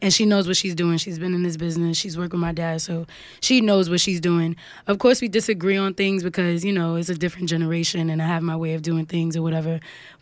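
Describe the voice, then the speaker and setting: Someone with a New York accent talks at a very fast pace with fairly even intonation. The recording is very clean, with a silent background. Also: woman, fairly low pitch for a woman. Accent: New York, Harlem. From Harlem, New York. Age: 20s. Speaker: singer and songwriter. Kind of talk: casual interview chat.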